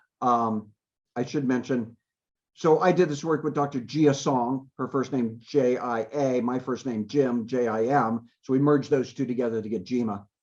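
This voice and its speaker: An ordinary speaking voice from a man at medium pitch, moderate pace and fairly even intonation, over a quiet background. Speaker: university computer security researcher. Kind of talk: lecture.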